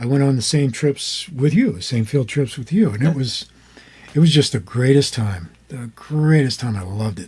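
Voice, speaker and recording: With an American accent, a man talks at a moderate pace in an ordinary speaking voice, medium in pitch with lively intonation. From United States. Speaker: former radio DJ, father of the host. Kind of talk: interview answer, casual conversation.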